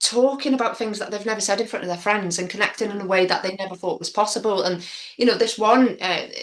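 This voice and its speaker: Over noticeable background noise, a woman with a North Wales accent and a fairly high pitch talks at a very fast pace with fairly even intonation. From Wrexham, North Wales. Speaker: spoken word poet; youth workshop leader. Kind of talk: interview answer. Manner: open, candid.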